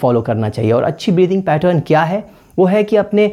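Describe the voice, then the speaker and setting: The tone is dark and mellow. The pace is moderate. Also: man. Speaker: podcaster. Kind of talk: tutorial.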